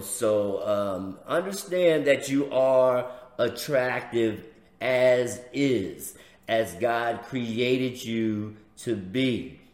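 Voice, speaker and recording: This man talks in an American accent. Noticeable background noise and audible room echo surround his voice. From US inner city. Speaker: preacher and podcast host. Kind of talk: inspirational religious talk show.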